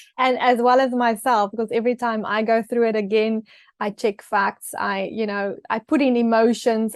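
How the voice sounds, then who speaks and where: A woman with a South African accent speaks at a moderate pace and a fairly high pitch, with ordinary pitch variation, in a dry, close recording with no echo. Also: quiet background. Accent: Afrikaans South African English. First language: Afrikaans. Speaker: author and TV personality. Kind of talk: interview. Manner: hesitant, many fillers.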